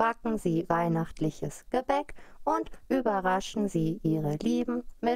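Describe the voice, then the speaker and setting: A robotic, put-on character voice that sounds female talks at medium pitch and a fairly slow pace over light background noise. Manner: emotionless, mechanical.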